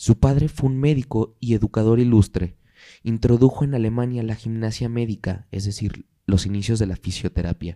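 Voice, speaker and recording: A man's dark, mellow tone at medium pitch, moderate pace, ordinary pitch variation, dry and close with no echo. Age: 20s. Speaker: podcast host. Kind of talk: casual chat.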